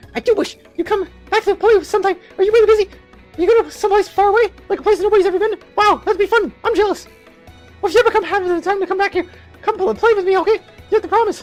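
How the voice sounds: In a put-on character voice with an extremely high pitch, the speaker races along at a very fast pace over faint music in the background.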